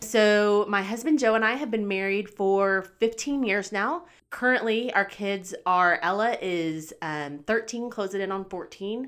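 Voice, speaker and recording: A woman with a medium pitch and a plain, everyday voice speaks at a fairly slow pace on a very clean recording with a silent background. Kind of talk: casual interview chat.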